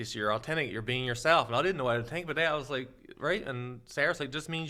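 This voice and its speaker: In a very clean recording with a silent background, a man with a strong Newfoundland accent talks at a very fast pace in a medium-pitched, bright, sharp voice with ordinary pitch variation. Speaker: social media creator and seasoning entrepreneur. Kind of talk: casual chat.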